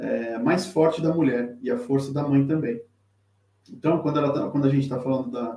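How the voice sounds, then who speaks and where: This man's pitch is fairly high. He keeps a moderate pace and fairly even intonation. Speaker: tarot teacher and reader. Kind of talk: live-streamed tutorial. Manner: halting, many fillers and repetitions.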